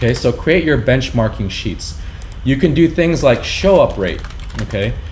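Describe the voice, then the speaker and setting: A man talks at a moderate pace while noticeable background noise and audible room echo surround him. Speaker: business owner teaching marketing. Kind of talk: tutorial.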